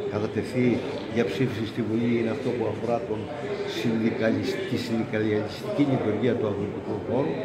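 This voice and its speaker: Heavy background noise fills the clip. Through it, a man is talking. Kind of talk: interview answer. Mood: calm, formal. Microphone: handheld.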